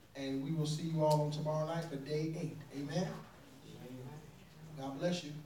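The speech moves at a moderate pace, broken by long, frequent pauses. Noticeable background noise runs underneath. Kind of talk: fervent prayer with commanding declarations, then leading the call. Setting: prayer call. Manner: forceful, emphatic, repeating commands with intensity.

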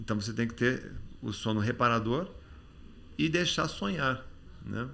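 Lively intonation marks a man's speech, heard with audible room echo. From Brazil, Campinas then Rio de Janeiro. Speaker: memory expert and author. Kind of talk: casual interview chat.

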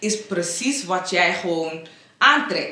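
A woman speaking at a very slow pace, with audible room echo and noticeable background noise. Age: 20s. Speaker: home care worker. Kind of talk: casual chat. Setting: radio studio.

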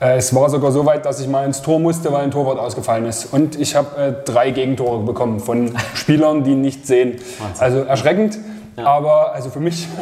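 With audible room echo and noticeable background noise, a man speaks fairly quickly in a fairly high pitch with ordinary pitch variation. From Leipzig, Saxony. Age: 30s. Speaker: football club vice president. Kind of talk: casual interview.

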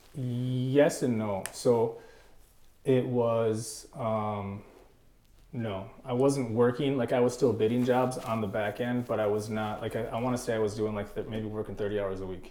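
There is audible room echo around the voice. A man with an American accent talks at a fairly slow pace with fairly even intonation. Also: medium pitch for a man. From northern Wisconsin. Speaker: entrepreneur, gutter business owner. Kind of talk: casual interview.

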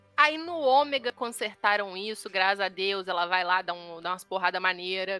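Music plays in the background of a dry, close recording with no echo, where the voice moves at a moderate pace with ordinary pitch variation. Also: woman. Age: 20s. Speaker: podcast co-host. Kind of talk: casual chat. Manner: animated.

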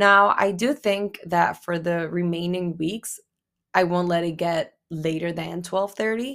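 The tone is animated and the pace fairly slow. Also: woman, fairly low pitch for a woman, ordinary pitch variation. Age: 20s. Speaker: podcast host. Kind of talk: solo podcast monologue.

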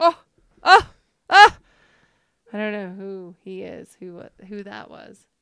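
A woman with an American accent talks at a very slow pace, with big swings in loudness and long, frequent pauses. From Utah (Centerville, near Salt Lake City). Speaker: nurse and former pro snowboarder. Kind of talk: casual chat.

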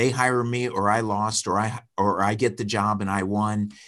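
This man has an unremarkable speaking voice, fairly low in pitch, with fairly even intonation. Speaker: painting business owner and public speaker. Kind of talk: casual chat. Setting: call.

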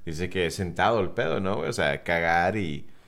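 The speech comes at a moderate pace with audible room echo. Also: man. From South Texas, US-Mexico border. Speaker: podcast co-host. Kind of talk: casual chat.

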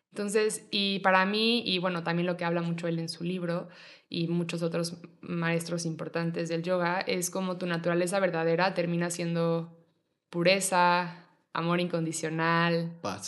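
At a fairly slow pace, a woman talks in a fairly low pitch with monotone, flat intonation. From Mexico City. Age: 20s. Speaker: yoga teacher. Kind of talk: casual chat.

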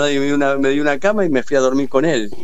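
A man with a Rioplatense accent and a fairly high pitch talks amid noticeable background noise and audible room echo. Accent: Argentine Rioplatense Spanish. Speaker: football federation official. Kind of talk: radio interview, reminiscing. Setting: phone call.

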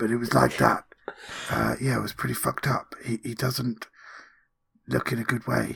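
A raspy, whispered put-on character voice at a moderate pace, broken by long, frequent pauses. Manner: chatty, whispered, rambling.

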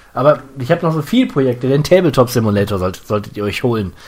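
Speech rushes out at a very fast pace. A man's intonation rises and falls in a lively way. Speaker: video game podcast host. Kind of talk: casual chat. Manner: occasional fumbling over words.

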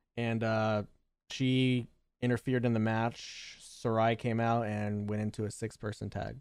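A man talks at a fairly slow pace with a medium pitch and a monotone, flat intonation. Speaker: podcast host. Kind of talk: casual chat.

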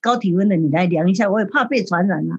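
Somewhat breathy, a woman speaks at a medium pitch with lively intonation. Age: 70s. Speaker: museum board chair. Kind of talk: radio interview.

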